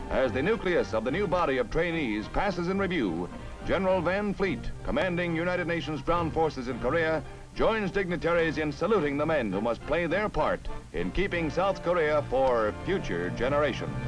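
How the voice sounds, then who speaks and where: Music plays in the background as a man with a fairly high pitch talks at a moderate pace. His intonation is lively and his loudness very even. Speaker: newsreel announcer. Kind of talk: 1950s newsreel narration. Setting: vintage archival recording. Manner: authoritative, brisk.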